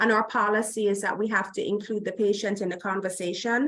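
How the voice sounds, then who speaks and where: With a Jamaican accent, a woman speaks in a fairly high pitch. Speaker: healthcare diversity executive. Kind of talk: conference Q&A. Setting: remote video link to conference.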